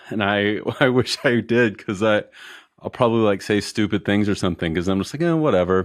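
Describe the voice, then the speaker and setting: The voice has a relaxed tone and an American accent, moving at a fairly quick pace. The background is quiet. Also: man. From Colorado. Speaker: e-commerce business owner. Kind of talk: casual interview chat. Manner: relaxed, many fillers.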